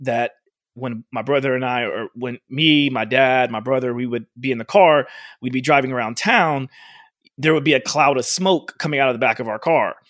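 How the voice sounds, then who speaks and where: A man's normal speaking voice, medium in pitch, at a moderate pace with fairly even intonation, in a dry, close sound with no echo. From Oklahoma. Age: 40s. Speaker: fitness coach. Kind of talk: casual interview.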